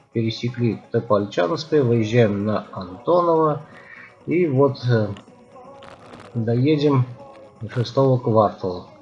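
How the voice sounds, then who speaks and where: Faint music sits in the background as a man speaks at a very slow pace with long, frequent pauses. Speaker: cycling vlogger. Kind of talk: casual vlog chat. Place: street. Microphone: phone near.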